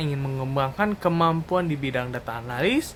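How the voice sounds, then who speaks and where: This is an ordinary speaking voice at a moderate pace. Its pitch variation is ordinary. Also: man. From Indonesia, Karawang, West Java. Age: 20s. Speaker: fresh graduate job applicant. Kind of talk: video resume self-introduction.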